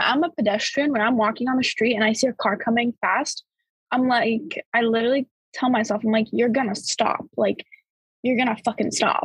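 A woman's high-pitched voice with an American accent and fairly even intonation, in a dry, close sound with no echo. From Bulgaria, then Florida from about age 7. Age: young. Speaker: college student. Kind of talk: casual chat. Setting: call.

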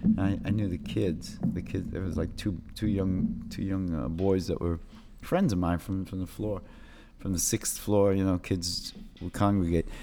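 With a dark, mellow tone, a man speaks at a moderate pace in a very deep, low pitch and fairly even intonation. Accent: American. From New York City, Lower East Side. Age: 50s. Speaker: graffiti artist. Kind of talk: casual interview chat. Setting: in person. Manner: halting, many repetitions.

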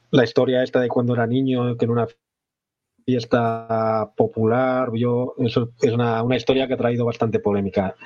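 A man talks at a moderate pace with a medium pitch. His intonation stays flat and monotone. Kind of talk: casual interview chat. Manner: halting, frequent repetitions.

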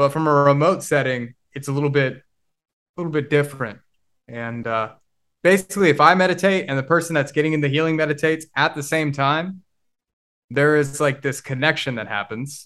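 A man with an American accent and a fairly high pitch talks at a fairly quick pace with ordinary pitch variation. His loudness swings widely, and he takes long, frequent pauses. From Oklahoma. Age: 20s. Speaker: online marketing entrepreneur. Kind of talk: casual interview chat.

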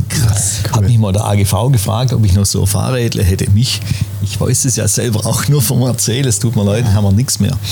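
In a recording with noticeable background noise and audible room echo, a man at a fairly low pitch speaks at a fairly quick pace with very even loudness and fairly even intonation. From Schwäbisch Gmünd, Swabia, southern Germany. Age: 60s. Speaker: café owner. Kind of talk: casual interview chat. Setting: in a café.

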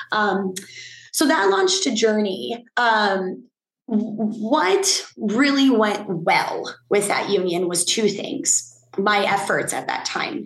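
A very slow, somewhat breathy woman's voice, fairly high in pitch, with lively intonation. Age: 30s. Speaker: fitness instructor and union advocate. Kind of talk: interview.

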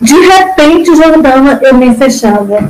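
Her delivery is very slow. Behind the woman, background noise is noticeable. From Ceará, Brazil. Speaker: fibromyalgia patient, former hairdresser. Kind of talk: personal testimony in casual interview. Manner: talkative, emotional.

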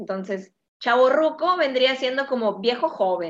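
A woman speaks in an ordinary speaking voice. Her intonation is lively. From Mexico. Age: 20s. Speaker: podcast co-host. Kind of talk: casual chat.

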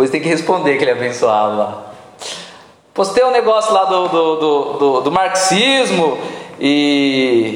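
With audible room echo and noticeable background noise, a man with fairly high pitch and very wide pitch swings speaks at a fairly slow pace with very even loudness and long, frequent pauses. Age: 30s. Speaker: pastor. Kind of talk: sermon.

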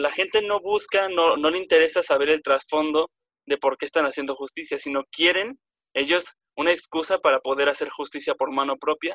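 Dry and close with no echo, a man's fairly high, bright, sharp voice moves at a moderate pace with ordinary pitch variation. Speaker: podcast host. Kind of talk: casual debate chat. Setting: group call.

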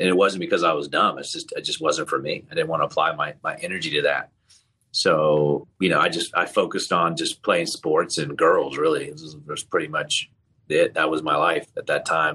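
A man with a General American accent at a fairly quick pace, with big swings in loudness. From England. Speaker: healthcare entrepreneur. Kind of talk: casual interview.

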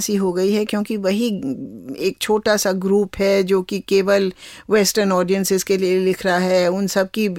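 A woman at medium pitch in a Kumaon accent, with dry, close sound and no echo. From Kumaon, Uttarakhand (Nainital). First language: Kumaoni (speaking Hindi). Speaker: translator and author. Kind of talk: interview conversation.

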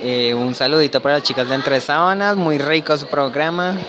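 At a moderate pace, a man with an ordinary speaking voice and fairly high pitch talks with ordinary pitch variation. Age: 20s. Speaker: interviewee at a book fair. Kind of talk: vox pop testimony.

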